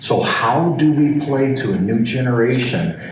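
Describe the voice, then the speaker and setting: A man speaks at a fairly slow pace in a medium pitch. Audible room echo and noticeable background noise fill the recording. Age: 60s. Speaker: alarm industry executive. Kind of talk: interview. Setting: convention hotel.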